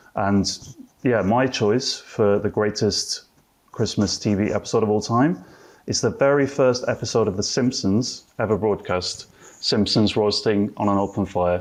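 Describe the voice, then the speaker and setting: A man with a British accent speaks at a fairly low pitch and a fairly slow pace. His loudness stays very even, with ordinary pitch variation. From UK. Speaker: TV writer. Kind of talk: panel debate. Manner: hesitant, many fillers.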